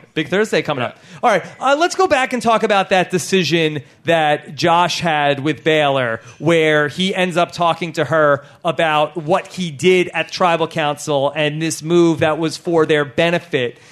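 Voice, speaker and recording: Music plays in the background as a man with a fairly high pitch talks at a moderate pace in an animated tone, with ordinary pitch variation and hardly any pauses. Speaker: podcast host. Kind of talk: live podcast recap before audience. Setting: comedy club stage with audience.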